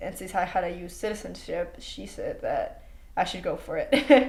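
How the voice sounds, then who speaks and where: There is audible room echo. A woman talks at a fairly slow pace. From Mexico. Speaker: student. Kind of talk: interview.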